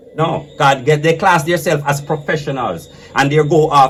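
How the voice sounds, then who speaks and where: Noticeable background noise sits behind the voice. A man speaks in a fairly high pitch with an animated tone. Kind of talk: casual debate.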